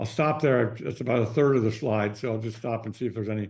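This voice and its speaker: The delivery is very fast, with fairly even intonation. Vocal fry runs through it. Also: man. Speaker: consumer goods business advisor. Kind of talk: webinar presentation. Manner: hesitant, many fillers and repeats.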